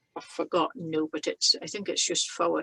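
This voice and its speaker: Recorded with a dry, close sound and no echo, a woman with a fairly low pitch speaks in a Shetland accent. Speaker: knitter. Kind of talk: conversation.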